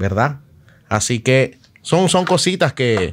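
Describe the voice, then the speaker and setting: A man speaking very slowly on a very clean recording with a silent background. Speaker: DJ and interview show host. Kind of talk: casual interview.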